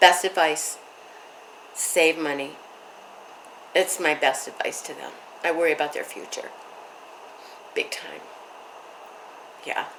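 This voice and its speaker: Against noticeable background noise, a woman with a fairly low pitch speaks at a fairly slow pace in a monotone, flat intonation with long, frequent pauses. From Michigan, US Midwest. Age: 70s. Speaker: widow telling her life story. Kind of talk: interview.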